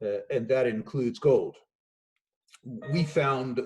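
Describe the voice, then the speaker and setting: A man speaks at a fairly slow pace in a dark, mellow tone. His voice is somewhat breathy with a fairly high pitch. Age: 60s. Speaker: investment firm executive. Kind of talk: remote interview. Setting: remote call from home.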